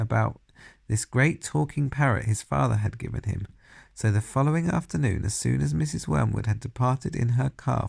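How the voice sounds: The voice heard here is a natural reading voice.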